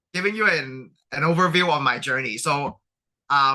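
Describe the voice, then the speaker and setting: The man's tone is bright and sharp. His intonation is lively. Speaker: graduate student panelist. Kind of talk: panel presentation. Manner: halting, with vocal tics.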